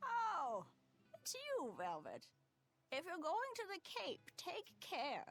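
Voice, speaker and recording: In a put-on character voice with extremely high pitch, the speaker goes at a very slow pace with long, frequent pauses. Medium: video game. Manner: cryptic, fretful.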